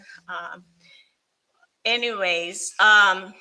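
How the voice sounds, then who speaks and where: This is a woman speaking. She has a Filipino accent. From Pampanga, Philippines. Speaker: hairstylist and online entrepreneur. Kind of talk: personal testimony in live stream. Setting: online live stream. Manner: halting, many fillers.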